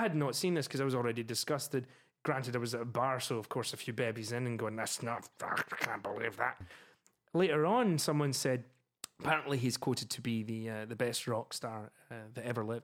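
Someone speaks at a fairly quick pace with a Scottish accent. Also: man. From Scotland. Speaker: opera singer and music teacher. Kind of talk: casual chat.

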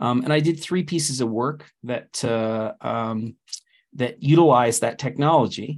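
A man with a Canadian accent and an unremarkable speaking voice, medium pitch, ordinary pitch variation, and a fairly slow pace. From Canada. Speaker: technology director and open source community organizer. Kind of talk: interview.

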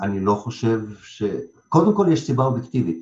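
Somewhat breathy, the voice rushes along at a very fast pace with lively intonation. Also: man. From Lithuania, Russian-speaking family, moved to Israel at 12. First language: Russian (speaking Hebrew). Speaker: theatre director and acting school head. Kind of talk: interview.

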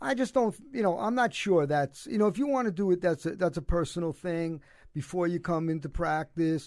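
In a Brooklyn accent, a man talks at a high pitch and a fairly quick pace. The recording is very clean, with a silent background. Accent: New York (Brooklyn). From Brooklyn, New York. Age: 70s. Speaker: former basketball coach, cancer survivor. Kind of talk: casual interview. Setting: studio.

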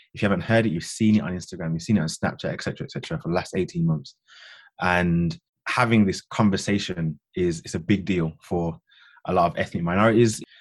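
Speaking in a Birmingham accent, a man with a very deep, low pitch talks at a fairly quick pace with ordinary pitch variation against a quiet background. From Birmingham, England. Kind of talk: discussion about racial injustice.

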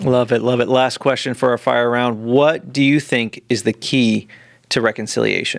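A man speaks in an ordinary speaking voice at a medium pitch and a moderate pace. His intonation is fairly even and his loudness very even. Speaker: podcast co-host. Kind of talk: interview.

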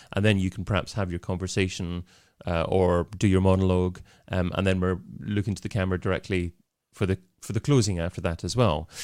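A man speaks at a very fast pace with a very deep, low pitch and fairly even intonation. The recording is very clean, with a silent background. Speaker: podcast producer and video show host. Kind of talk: casual interview. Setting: studio with podcast mixer. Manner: repeats words when thinking.

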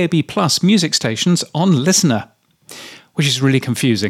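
A man's fairly high voice with vocal fry and very wide pitch swings, on a very clean recording with a silent background. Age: 50s. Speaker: radio industry newsletter writer and podcaster. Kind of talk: solo commentary reading own newsletter. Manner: casual with filler words.

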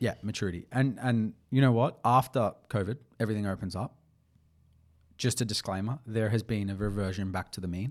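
Delivery is fairly quick, and the intonation stays fairly even. The background is silent in this very clean recording. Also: man, fairly low pitch for a man. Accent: Australian. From Australia, Melbourne. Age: 20s. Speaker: podcast co-host, sporting brand founder. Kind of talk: casual chat.

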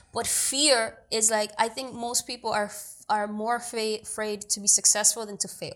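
This is a normal speaking voice with an American accent. Its intonation stays fairly even. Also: woman. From New York City, Washington Heights (Dominican family). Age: young. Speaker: actor and producer. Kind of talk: casual interview.

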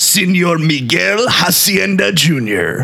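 A man puts on a high-pitched character voice with very wide pitch swings. He speaks at a very slow pace. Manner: fun, playful.

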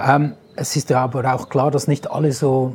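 Somewhat breathy and dark and mellow in tone, a man speaks at a fairly high pitch. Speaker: sales trainer and podcast host. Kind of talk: interview. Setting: on location at an event venue.

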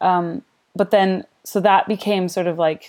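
A woman's fairly low, dark and mellow voice with a Canadian accent, fairly even intonation and a fairly slow pace, on a very clean recording with a silent background. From Canada. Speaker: jazz singer and primary school teacher. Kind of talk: interview. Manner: halting, many fillers.

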